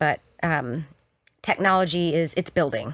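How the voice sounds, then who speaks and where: A woman with an American accent speaks at a fairly low pitch with ordinary pitch variation. The recording is very clean, with a silent background and a dry, close sound with no echo. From US South. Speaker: photographer and artist. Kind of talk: podcast interview. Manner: fast.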